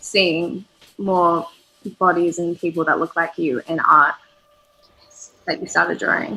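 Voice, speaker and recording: With an Australian accent, a woman speaks at a fairly slow pace and a fairly low pitch, with ordinary pitch variation. Long, frequent pauses break up her speech. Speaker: illustrator; artist co-host. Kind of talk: casual chat during live drawing stream; casual conversation while drawing. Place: home room. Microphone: video call.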